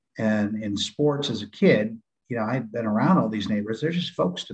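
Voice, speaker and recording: The man's delivery is fairly quick, with ordinary pitch variation. It is a normal speaking voice. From San Diego, California. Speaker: retired Navy SEAL, firearms instructor. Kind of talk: interview.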